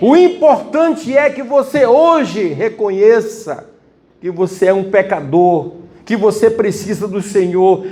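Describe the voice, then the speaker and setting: In a room with audible echo, a man talks at a very slow pace with lively intonation. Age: 60s. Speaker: preacher. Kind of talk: sermon.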